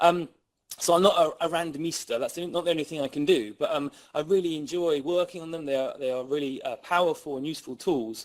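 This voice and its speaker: Speech comes at a very fast pace in an English accent, with ordinary pitch variation. The recording is very clean, with a silent background. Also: man, fairly high pitch for a man. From England. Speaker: criminologist and researcher. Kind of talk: lecture. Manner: animated.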